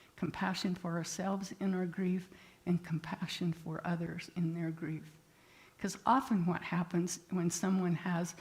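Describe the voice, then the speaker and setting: A woman's somewhat breathy voice at medium pitch, fairly slow in pace, with fairly even intonation. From rural area. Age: 80s+. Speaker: therapist and guest speaker. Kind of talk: sermon.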